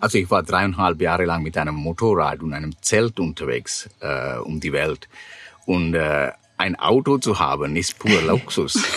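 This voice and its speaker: A man with a very deep, low pitch talks at a fairly slow pace with ordinary pitch variation. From Sri Lanka. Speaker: van-life traveller and author. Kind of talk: interview. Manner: halting, with many fillers.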